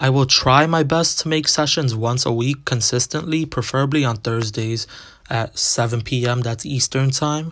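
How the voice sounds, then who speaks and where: Speaking at a medium pitch and a moderate pace, this man has an unremarkable speaking voice with fairly even intonation. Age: young. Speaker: podcast host. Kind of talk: solo podcast monologue.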